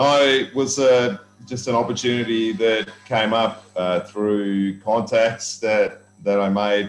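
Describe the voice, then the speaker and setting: Over music in the background, a man with an Australian accent speaks at a very slow pace with fairly even intonation. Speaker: volleyball coach and commentator. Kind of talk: interview.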